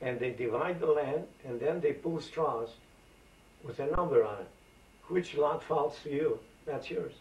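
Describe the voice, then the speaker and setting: Speaking at a fairly slow pace with long, frequent pauses, a man talks in a Macedonian accent. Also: ordinary pitch variation. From Aegean Macedonia, northern Greece. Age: 80s. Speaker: elderly immigrant interviewee. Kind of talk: oral history interview. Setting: at home. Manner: animated storyteller. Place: home room. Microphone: old recording.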